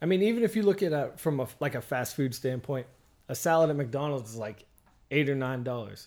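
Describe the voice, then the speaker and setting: Here a man with an American accent and a plain, everyday voice talks at a fairly quick pace, his fairly high pitch carrying lively intonation, in a very clean recording with a silent background. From Pennsylvania, Oil City area. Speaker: podcast host. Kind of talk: casual interview chat.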